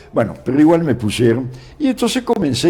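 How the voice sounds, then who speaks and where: A man speaks in a dark, mellow tone, somewhat breathy. His pitch swings very widely. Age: 80s+. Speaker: forestry scientist and entomologist. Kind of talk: interview. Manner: halting with repetitions.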